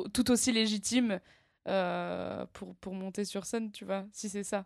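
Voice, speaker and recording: In a very clean recording with a silent background, a woman speaks very slowly at a medium pitch with monotone, flat intonation. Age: 20s. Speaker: comedian and screenwriter. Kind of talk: casual interview chat. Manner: halting.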